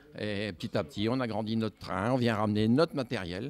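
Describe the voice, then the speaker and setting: A man's speech moves along at a moderate pace. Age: 60s. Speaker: model railway hobbyist. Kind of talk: interview. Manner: halting, many hesitations.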